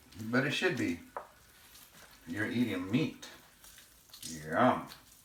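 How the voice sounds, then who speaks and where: A man speaks at a very slow pace. Audible room echo and noticeable background noise surround his voice. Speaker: home cooking video host. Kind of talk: cooking tutorial. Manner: casual, loose.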